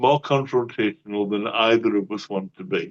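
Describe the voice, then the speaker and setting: A man is speaking. He has a Cumbrian accent. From northern England. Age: 60s. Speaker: atheist channel host. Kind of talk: debate discussion. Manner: slower than usual.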